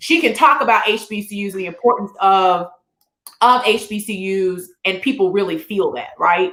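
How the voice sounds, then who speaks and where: A woman speaks in an animated tone at a medium pitch with ordinary pitch variation. Her pace is moderate and her loudness swings widely. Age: 40s. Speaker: talk show host. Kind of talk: panel discussion.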